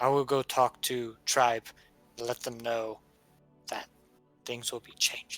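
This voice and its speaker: Faint music plays behind a put-on character voice that is monotone and flat, fairly slow, with long, frequent pauses. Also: man, medium pitch for a man. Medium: actual play. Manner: halting, broken simple speech.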